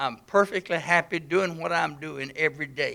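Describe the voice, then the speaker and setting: With a Mississippi accent, a man speaks at a moderate pace in a high pitch, with a bright, sharp tone and ordinary pitch variation. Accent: US Southern (Mississippi). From Mississippi, Pontotoc County. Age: 80s+. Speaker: business owner, political speaker. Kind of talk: public speech.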